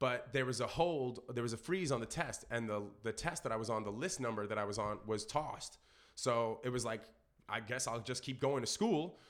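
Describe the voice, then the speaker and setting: A man with an American accent talks at a moderate pace, with a medium pitch and ordinary pitch variation. He has an unremarkable speaking voice. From New York, Brooklyn. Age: 30s. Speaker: rapper and children's entertainer. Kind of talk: casual chat.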